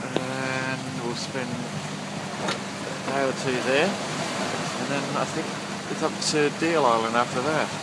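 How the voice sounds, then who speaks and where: A man speaks at a very slow pace over loud background noise. The sound is dry, with no echo. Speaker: sailor. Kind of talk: casual video diary to camera. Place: boat. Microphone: phone near.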